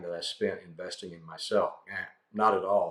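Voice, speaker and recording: A man speaks at a fairly quick pace. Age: 60s. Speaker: real estate educator. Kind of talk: talking-head advice video. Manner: conversational, with frequent fillers.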